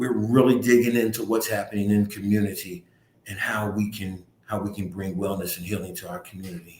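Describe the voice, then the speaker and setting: A man with an American accent talks at a fairly quick pace in a fairly low, somewhat breathy voice. His loudness swings a lot. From US, North Philadelphia. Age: 60s. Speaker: community nonprofit director. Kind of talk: community talk livestream. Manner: animated.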